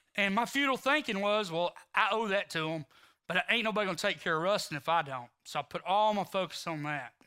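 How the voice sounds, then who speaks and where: A man with a Texan accent speaks in a raised, projected voice at a high pitch, with a bright, sharp tone and lively intonation. The pace is fairly quick, on a very clean recording with a silent background. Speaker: recovery ministry leader. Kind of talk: testimony. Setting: church service.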